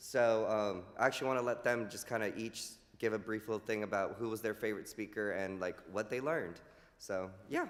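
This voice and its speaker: A man talking at a fairly quick pace with fairly even intonation amid noticeable background noise. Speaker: health educator. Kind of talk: community presentation at church service. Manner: loud.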